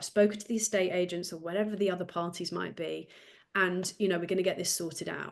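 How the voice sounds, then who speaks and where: A woman with a British accent, very fast pace, monotone and flat intonation. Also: medium pitch for a woman. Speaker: business development coach, former solicitor. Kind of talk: podcast interview. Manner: fast talker.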